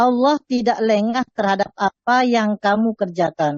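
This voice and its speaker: A woman speaks fairly slowly with a Madurese accent. Her pitch is fairly high. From Madura. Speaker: student. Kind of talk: reading aloud. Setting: online class.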